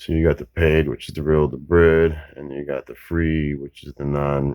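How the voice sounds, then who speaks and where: The man's pitch is very deep and low. His intonation stays fairly even. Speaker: tech tutorial maker. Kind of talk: tutorial. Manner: casual, profane.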